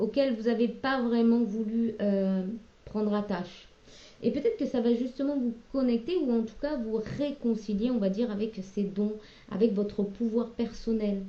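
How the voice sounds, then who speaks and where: Her fairly high-pitched voice carries fairly even intonation as the woman speaks. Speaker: tarot card reader. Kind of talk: tarot reading. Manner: hesitant; loud at moments.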